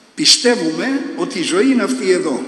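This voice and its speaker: A man speaks at a fairly slow pace with very wide pitch swings. Audible room echo surrounds his voice. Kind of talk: sermon. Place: church. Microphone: podium.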